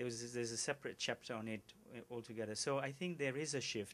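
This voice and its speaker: A man with a non-native accent speaks at medium pitch with ordinary pitch variation, in a very clean recording with a silent background. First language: not English. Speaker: agricultural policy expert. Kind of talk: press conference Q&A answer. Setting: news conference. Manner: halting, many repetitions.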